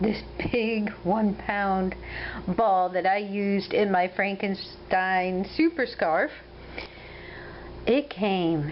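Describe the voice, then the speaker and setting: A woman with an Ohio accent speaks at a very slow pace, leaving long, frequent pauses. Her pitch is medium with ordinary variation, and her loudness stays very even. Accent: Ohio Midwestern. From US Midwest, Ohio. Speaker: crochet vlogger. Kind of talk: casual video update.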